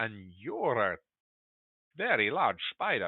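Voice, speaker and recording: A man puts on a raspy character voice in an Eastern European accent. He speaks at a medium pitch and a fairly slow pace. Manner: acted storytelling.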